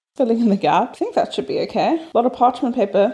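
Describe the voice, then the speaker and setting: A woman at high pitch with very wide pitch swings, over noticeable background noise. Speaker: vlogger. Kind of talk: casual vlog chat.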